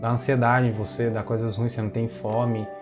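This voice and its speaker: Music plays in the background. A man speaks at a very fast pace and a medium pitch. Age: 20s. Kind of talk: personal testimony, casual talk to camera.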